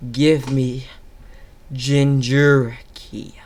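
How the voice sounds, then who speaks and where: A man puts on a character voice at medium pitch. His intonation stays monotone and flat. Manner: menacing, fear-inspiring.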